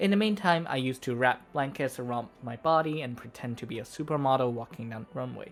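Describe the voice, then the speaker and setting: The speech comes with a non-native accent. The pace is very fast. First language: not English. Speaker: vtuber video essayist. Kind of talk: scripted narration. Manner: formal.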